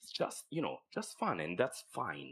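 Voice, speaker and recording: A man talks with an Italian accent. His pace is moderate. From Italian-speaking southern Switzerland, near Lugano. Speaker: animation film director. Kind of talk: podcast interview. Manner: halting, frequent repeated words.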